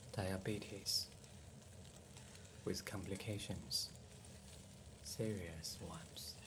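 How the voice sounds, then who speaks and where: A very slow, gentle, calm delivery with long, frequent pauses, amid noticeable background noise. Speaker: home cook and ASMR storyteller. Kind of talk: ASMR cooking and bedtime storytelling, soft-spoken. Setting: kitchen, close microphone, cooking sounds. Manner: soft-spoken, gentle, calm, slow.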